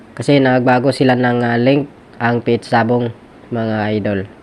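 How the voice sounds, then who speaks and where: Over noticeable background noise, a man speaks at a medium pitch. His delivery is fairly slow, monotone and flat. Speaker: vlogger. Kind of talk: tutorial. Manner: casual, filler-heavy.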